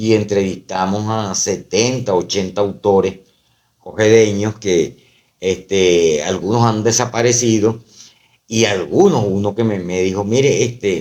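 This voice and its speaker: The man speaks at a very slow pace. His intonation stays fairly even. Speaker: poet and university professor. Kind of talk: casual interview chat. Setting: podcast recorded on camera. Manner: hesitant, many fillers.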